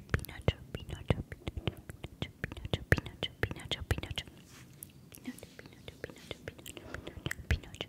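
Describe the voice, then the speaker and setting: A woman is whispering. Her words come at a fairly quick pace. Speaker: ASMR creator. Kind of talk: repeated whispered trigger words. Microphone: studio mic.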